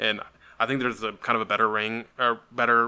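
At a fairly quick pace, a man delivers his words at medium pitch in a flat monotone. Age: 20s. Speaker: wrestling podcast host. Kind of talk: casual chat.

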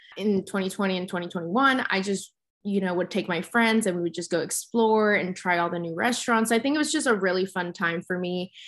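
A normal speaking voice at a fairly quick pace against a quiet background. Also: woman, medium pitch for a woman, ordinary pitch variation. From Texas (Dallas), born in Mexico City. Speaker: beauty entrepreneur and blogger. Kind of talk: interview.

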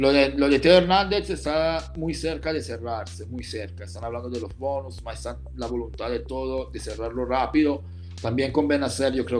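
A man in an Italian accent at a moderate pace, with audible room echo. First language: Italian (speaking Spanish). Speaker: football transfer market journalist. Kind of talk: casual chat. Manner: halting.

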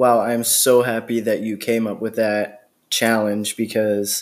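Flat and monotone, a man with an American accent speaks at a medium pitch. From Pennsylvania, near Doylestown. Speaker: podcast host. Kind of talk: interview.

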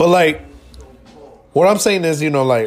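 Over noticeable background noise, a man with a fairly high pitch speaks in an animated tone at a moderate pace with ordinary pitch variation. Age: 20s. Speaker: podcast co-host. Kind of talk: casual chat.

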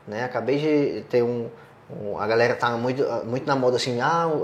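A man with an ordinary speaking voice at medium pitch, ordinary pitch variation and a moderate pace. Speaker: podcast host on sports betting business. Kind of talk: casual chat.

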